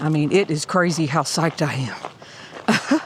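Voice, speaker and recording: Noticeable background noise behind a woman's very slow delivery. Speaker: hiking vlogger. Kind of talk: casual vlog talk. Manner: animated.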